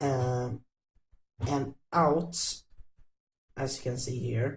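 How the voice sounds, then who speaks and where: Speaking at a very slow pace, a man with a non-native accent has a somewhat breathy, medium-pitched voice and fairly even intonation. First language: not English. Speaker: coding tutorial youtuber. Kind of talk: tutorial. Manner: halting.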